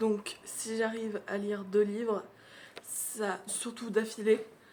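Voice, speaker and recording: A woman's voice at medium pitch. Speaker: book vlogger. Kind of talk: casual vlog. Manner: casual, hesitant with fillers.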